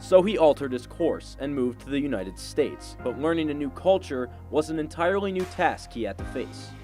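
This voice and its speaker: A man speaks at a fairly quick pace with hardly any pauses. Music plays in the background. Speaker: sports reporter and anchor. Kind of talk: TV sports news reporting.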